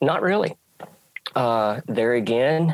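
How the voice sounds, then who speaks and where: A man with an Alabama accent speaks with ordinary pitch variation, his voice dry and close with no echo. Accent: Southern US (Alabama). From US South, rural Alabama. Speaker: track and field coach. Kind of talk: casual interview chat.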